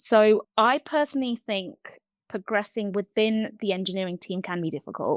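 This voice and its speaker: A woman with a London accent speaks at a fairly high pitch with ordinary pitch variation, in a very clean recording with a silent background and dry, close sound with no echo. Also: moderate pace. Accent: southern English, London. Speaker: TV support engineer. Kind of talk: interview. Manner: hesitant, many fillers.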